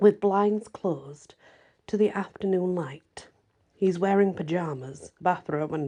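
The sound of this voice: Quiet background behind an unforced reading voice, pitch varying in an ordinary way.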